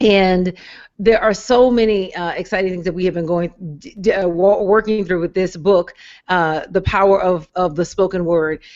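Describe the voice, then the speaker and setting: With an ordinary speaking voice, a woman speaks at medium pitch and a moderate pace, her intonation fairly even. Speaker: minister hosting a metaphysical Bible study livestream. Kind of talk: live online ministry hangout host talk.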